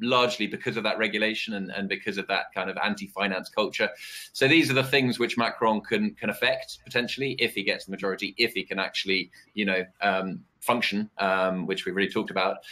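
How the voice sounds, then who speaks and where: Speaking in a British accent at a fairly quick pace, a man has a fairly low pitch and a bright, sharp tone. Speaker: geopolitical analyst. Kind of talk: live webcast panel discussion. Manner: halting, many fillers and repetitions.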